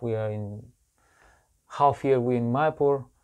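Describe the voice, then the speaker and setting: Someone speaks at a moderate pace with a Bulgarian accent against a quiet background. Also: man. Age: 40s. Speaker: monk and preacher. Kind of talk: interview.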